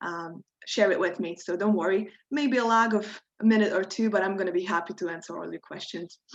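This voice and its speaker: With a Croatian accent, a woman speaks at a fairly quick pace and medium pitch, using ordinary pitch variation. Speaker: workshop instructor. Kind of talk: tutorial. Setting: video call.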